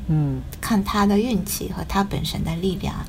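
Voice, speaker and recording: A woman with a slight Taiwanese accent is heard with audible room echo and noticeable background noise. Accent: slight Taiwanese-tinged Mandarin, non-native. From Japan. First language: Japanese (speaking Chinese). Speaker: writer. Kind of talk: casual chat. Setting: video call.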